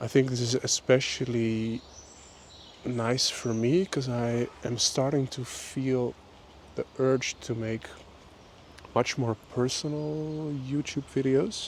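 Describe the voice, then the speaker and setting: A man with a Dutch accent speaks at a very slow pace in a relaxed tone, with fairly even intonation and long, frequent pauses. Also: medium pitch for a man. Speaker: vlogger. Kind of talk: casual monologue. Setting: outdoors on a walk.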